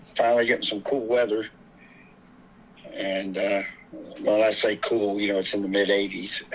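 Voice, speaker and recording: A man speaks with a Texan accent over noticeable background noise. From Houston, Texas. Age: 60s. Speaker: bereaved father and activist. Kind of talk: interview, personal testimony.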